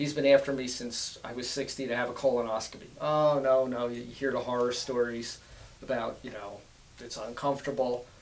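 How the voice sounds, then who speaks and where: Delivery is fairly quick in a flat monotone. Audible room echo surrounds the voice. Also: man, medium pitch for a man, big swings in loudness. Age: 60s. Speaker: cancer survivor, business owner. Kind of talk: interview. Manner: halting.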